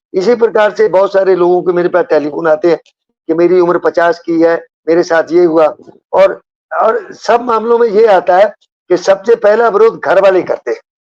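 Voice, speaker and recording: A man's high voice with very even loudness, fairly even intonation, and a dry, close sound free of echo. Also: moderate pace. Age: 80s+. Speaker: retired police officer. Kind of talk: interview.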